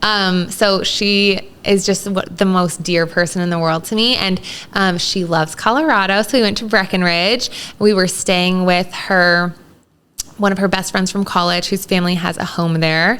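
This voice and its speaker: A woman with a plain, everyday voice, an American accent, medium pitch, a moderate pace and fairly even intonation. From Texas, El Paso. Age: 30s. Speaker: guest with food allergies. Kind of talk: casual chat.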